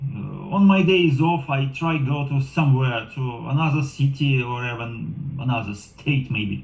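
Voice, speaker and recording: With a non-native accent, a man talks at a fairly slow pace and a fairly high pitch, using ordinary pitch variation. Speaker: driver and program assistant. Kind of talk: interview monologue. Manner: halting.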